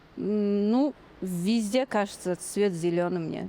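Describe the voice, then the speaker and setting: A woman speaks with a slight non-native accent in a dark, mellow tone, with ordinary pitch variation. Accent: slight non-Russian accent in Russian. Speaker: podcast guest, Kazakh language learner. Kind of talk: interview. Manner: halting.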